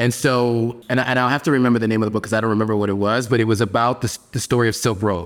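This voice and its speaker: Speaking very fast with hardly any pauses, a man with an American accent keeps a medium pitch and fairly even intonation. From US Northeast (New York and Pennsylvania). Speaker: advertising strategist. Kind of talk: interview.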